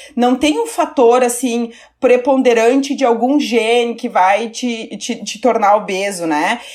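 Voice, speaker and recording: This woman has an unremarkable speaking voice. Her pitch varies in an ordinary way. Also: fairly high pitch for a woman. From southern Brazil, Caxias do Sul (Rio Grande do Sul). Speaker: nutrition professor. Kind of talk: interview, academic explanation.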